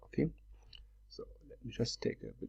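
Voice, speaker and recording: At a fairly slow pace, someone talks with a non-native accent over a quiet background. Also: man. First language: not English. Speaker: trading software seller and tutor. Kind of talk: screen-share tutorial. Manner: hesitant, many fillers.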